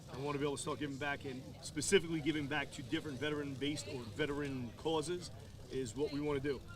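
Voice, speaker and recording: Here a man talks very fast in a strong New York accent, his pitch fairly high and his intonation fairly even. The room adds audible echo. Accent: New York, strong, persistent. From New York, Long Island. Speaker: business owner, military veteran. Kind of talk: interview. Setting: outdoors at golf course. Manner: halting, repeats words.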